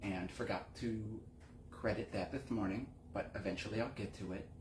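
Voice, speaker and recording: A man with a fairly low pitch is heard over noticeable background noise, with audible room echo. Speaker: window cleaning business owner and talk show host. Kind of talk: casual monologue. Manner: casual, halting with repetitions. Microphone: earbud mic, bad audio.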